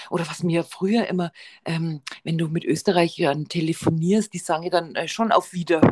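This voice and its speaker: A woman with a fairly low pitch speaks at a moderate pace, her intonation fairly even. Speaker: podcast co-host. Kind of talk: casual chat.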